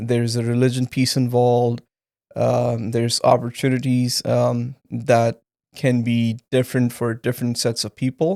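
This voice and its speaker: Recorded very cleanly with a silent background and a dry, close sound with no echo, a man with a Punjabi accent speaks at a moderate pace and medium pitch, his tone dark and mellow and his intonation flat and monotone. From Pakistan. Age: 30s. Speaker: engineer, podcast guest. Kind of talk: interview testimony. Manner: hesitant, many fillers.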